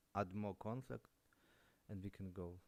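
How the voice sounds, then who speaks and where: The tone is dark and mellow, delivered at a moderate pace. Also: man. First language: not English. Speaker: day trader streamer. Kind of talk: live trading commentary. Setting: live stream. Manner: halting.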